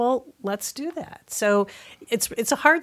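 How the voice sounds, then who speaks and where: In a normal speaking voice with an American accent, the speaker moves at a moderate pace with lively intonation on a very clean recording against a silent background. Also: woman. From US Midwest, Madison, Wisconsin. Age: 60s. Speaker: physical therapist and running coach. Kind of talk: interview.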